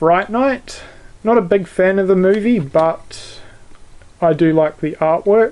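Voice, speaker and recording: A man with a New Zealand accent speaks at a high pitch with ordinary pitch variation. His pace is very slow and his loudness very even. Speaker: YouTuber, video collector. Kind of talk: casual show-and-tell video. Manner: hesitant, many fillers.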